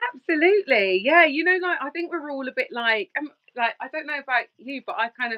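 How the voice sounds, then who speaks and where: Fairly quick and full of lively intonation, a woman with a London accent speaks in a high pitch. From Surrey, southern England. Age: 20s. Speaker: relationship coach. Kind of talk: podcast interview. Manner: halting, many fillers.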